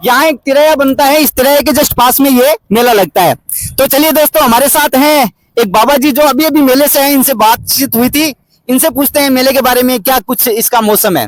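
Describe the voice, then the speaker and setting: Here a man talks at an extremely high pitch and a moderate pace, with very even loudness. The sound is dry and close, with no echo. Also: ordinary pitch variation. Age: 30s. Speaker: travel vlogger. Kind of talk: vlog presenting. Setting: outdoors at a fair.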